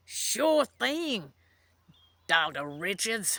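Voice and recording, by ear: In a put-on character voice, a man speaks high in pitch with very wide pitch swings, his voice raised and projected, on a very clean recording with a silent background.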